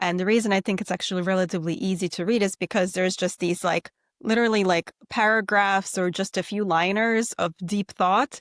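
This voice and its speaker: A woman with a Russian accent at a fairly quick pace and fairly even intonation, dry and close with no echo, in a very clean recording with a silent background. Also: medium pitch for a woman, hardly any pauses. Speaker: podcast host, doctor. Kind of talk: casual interview chat.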